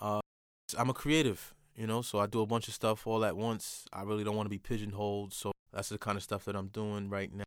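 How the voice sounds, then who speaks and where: A man with a New York accent speaks at a fairly quick pace. His intonation stays flat and monotone. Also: fairly low pitch for a man, very clean recording, silent background. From New York, Port Chester and Manhattan. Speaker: author and designer. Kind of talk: casual chat.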